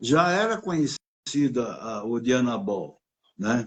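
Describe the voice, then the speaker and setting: A man with lively intonation. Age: 80s+. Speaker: bodybuilding coach and gym owner. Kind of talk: casual interview chat.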